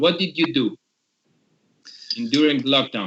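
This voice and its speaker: With an Italian accent, a man speaks at a fairly high pitch with lively intonation. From Italy. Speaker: podcast host, metal musician. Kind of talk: casual video podcast interview. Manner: halting.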